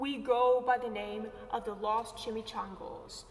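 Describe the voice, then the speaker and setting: A female-sounding, put-on character voice growls at a fairly high pitch and a fairly slow pace over clear background noise. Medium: read story. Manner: growling.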